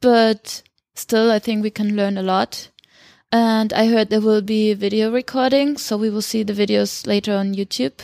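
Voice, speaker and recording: A woman speaks in an ordinary speaking voice at a fairly high pitch and moderate pace, with fairly even intonation and a dry, close sound with no echo. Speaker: conference attendee. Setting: conference in Sao Paulo.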